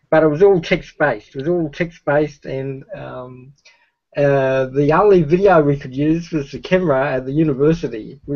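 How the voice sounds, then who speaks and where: In an Australian accent, a man speaks at a moderate pace with a fairly high pitch, ordinary pitch variation and big swings in loudness, against a quiet background. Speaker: streamer. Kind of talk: casual conversation, reminiscing. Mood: cheerful, animated storytelling. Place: home room. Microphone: video call.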